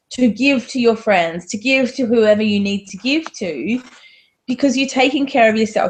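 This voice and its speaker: Somewhat breathy, a woman with an Australian accent speaks at a fairly high pitch. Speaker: divorce coach. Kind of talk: interview.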